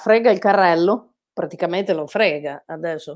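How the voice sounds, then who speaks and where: A woman with a strong Bolognese accent, at a moderate pace with ordinary pitch variation. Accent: Bolognese accent, strong by own account. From Bologna, Italy. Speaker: amateur photographer. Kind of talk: casual interview chat. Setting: online live stream.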